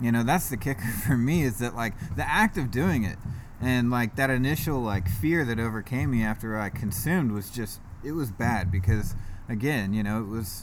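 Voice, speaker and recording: Medium pitch from a man at a moderate pace, ordinary pitch variation, with audible room echo. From US South, Georgia (East Cobb, Marietta). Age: 30s. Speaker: recovering addict sharing his story. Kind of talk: casual interview, recovery testimony.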